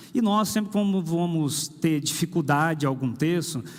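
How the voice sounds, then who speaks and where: Audible room echo colors the recording. The speaker is a man. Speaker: pastor. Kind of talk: sermon. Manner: conversational, with hesitations.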